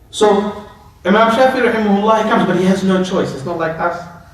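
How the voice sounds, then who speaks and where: A man talks at a fairly quick pace and a high pitch, with ordinary pitch variation. Noticeable background noise and audible room echo surround him. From Australia, Melbourne. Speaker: Islamic scholar. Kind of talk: lecture. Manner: conversational.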